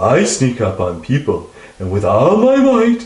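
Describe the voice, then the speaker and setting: In a put-on character voice, a man speaks with a slight echo. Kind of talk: comic children's storytelling. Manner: boastful, then flustered.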